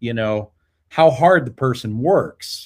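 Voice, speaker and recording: A man with an unremarkable speaking voice talks with a General American accent at a fairly slow pace. His intonation is lively, and the background is quiet. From Colorado. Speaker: music education professor. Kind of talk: casual interview.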